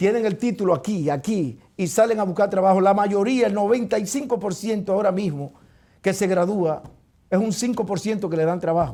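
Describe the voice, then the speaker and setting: A man speaks at a high pitch with a Dominican accent, his tone dark and mellow. His pitch varies in an ordinary way at a moderate pace, on a very clean recording with a silent background. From Dominican Republic, Neiba. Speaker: talk show host. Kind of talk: heated debate. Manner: animated.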